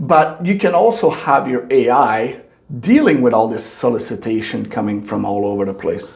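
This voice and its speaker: A man speaks at a moderate pace with a French Canadian accent. Noticeable background noise and audible room echo fill the recording. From Quebec. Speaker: podcast host. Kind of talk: interview.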